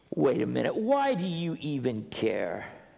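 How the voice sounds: Using a put-on character voice at a medium pitch, a man speaks at a fairly slow pace with a dark, mellow tone, vocal fry and very wide pitch swings.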